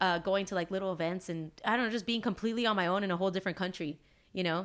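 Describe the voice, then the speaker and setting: In a Southern California accent, a woman speaks with fairly even intonation on a very clean recording with a silent background. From Los Angeles area, US. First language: Spanish. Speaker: illustrator and band singer. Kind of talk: casual interview chat. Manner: casual, many fillers.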